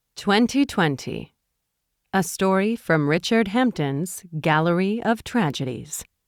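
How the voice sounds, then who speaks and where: A woman's strained voice at a medium pitch, lively intonation and very even loudness, in a very clean recording with a silent background. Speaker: audiobook narrator. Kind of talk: audiobook narration. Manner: restrained, slow-paced.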